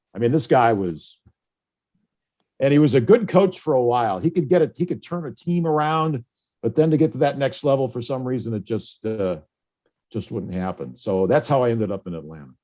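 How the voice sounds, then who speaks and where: Fairly quick speech with an American accent, a dark, mellow tone and very wide pitch swings over a quiet background. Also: man, medium pitch for a man. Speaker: radio play-by-play announcer. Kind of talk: interview answer. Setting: video call (Zoom).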